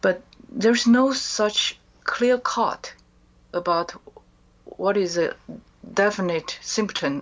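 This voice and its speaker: A woman talks in a Chinese accent with ordinary pitch variation. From China. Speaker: author and mind control survivor. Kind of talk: interview testimony. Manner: hesitant, many fillers.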